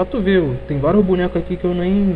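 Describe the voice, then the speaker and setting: A man is talking against noticeable background noise. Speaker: gaming streamer. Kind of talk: live gameplay stream chat. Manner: animated.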